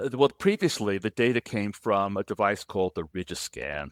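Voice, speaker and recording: A man at a moderate pace, dry and close with no echo, in a very clean recording with a silent background. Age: 70s. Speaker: physician and sex tech inventor. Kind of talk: podcast interview. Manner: halting.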